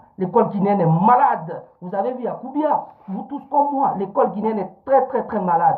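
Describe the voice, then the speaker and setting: At a moderate pace and in an animated tone, the voice comes through over noticeable background noise. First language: Fula (Pular) (speaking French). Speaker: political activist livestreamer. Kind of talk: live-stream political commentary. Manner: animated, repetitive.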